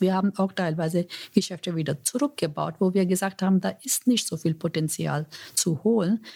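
Speaking fairly slowly with a non-native accent, a woman has a medium pitch and a dark, mellow tone. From India. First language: not German (speaking German). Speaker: corporate executive. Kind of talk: interview. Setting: office. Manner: halting, with fillers.

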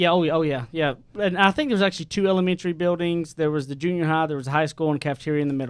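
Speaking very fast with hardly any pauses, a man with a strong East Texas accent uses a fairly high pitch and ordinary pitch variation on a very clean recording with a silent background. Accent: strong East Texas country twang. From East Texas, Tyler area. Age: 30.

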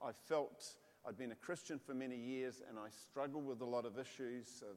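A man talks with a New Zealand accent. His pitch is medium, and his pace is moderate. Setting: church with audience.

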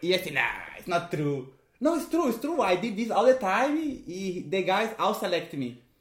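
A man with a Portuguese accent, high-pitched, at a moderate pace with very wide pitch swings. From Brazil. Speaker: magician and clown. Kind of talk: casual chat. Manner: halting.

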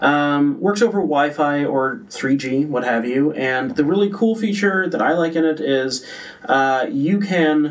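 Noticeable background noise sits behind a man whose fairly high voice carries lively intonation. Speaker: social media specialist. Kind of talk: casual chat. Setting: studio.

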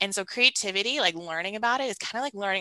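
A woman with an American accent speaks very fast in a medium pitch with lively intonation. Noticeable background noise is present. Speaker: creativity coach. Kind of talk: casual interview chat. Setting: video call. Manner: soothing, calm.

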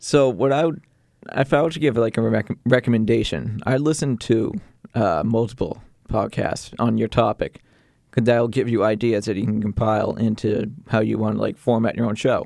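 This man talks at a moderate pace with vocal fry and ordinary pitch variation. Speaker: sports play-by-play announcer and podcaster. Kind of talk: casual interview. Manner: hesitant, filler-heavy.

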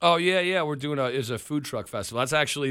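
With an American accent, a man talks in a very clean recording against a silent background. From New York (Long Island). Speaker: rock band leader and musician. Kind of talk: casual radio interview. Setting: radio studio. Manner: hesitant, many fillers.

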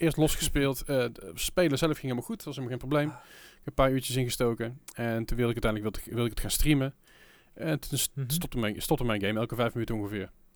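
The man speaks at a very fast pace. His pitch is medium, with ordinary pitch variation. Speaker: podcast host. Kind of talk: casual chat. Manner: rambling, halting with filler words.

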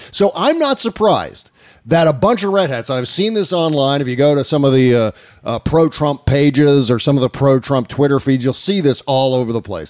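A man's animated tone with lively intonation, fairly high pitch and a fairly quick pace. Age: 40s. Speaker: podcast host. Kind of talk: casual chat.

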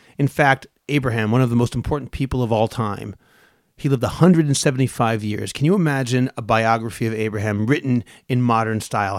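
A man with an American accent at a very fast pace, medium pitch and ordinary pitch variation, in a very clean recording with a silent background and a dry, close sound with no echo. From Boston, US. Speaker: podcast co-host, Bible teacher. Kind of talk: casual chat and Bible teaching.

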